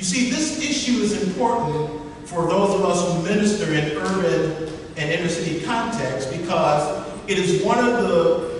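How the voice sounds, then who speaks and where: With strong room echo and light background noise, the voice moves at a moderate pace with lively intonation. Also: man, high pitch for a man. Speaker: workshop teacher. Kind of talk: lecture. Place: hall. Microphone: camera far.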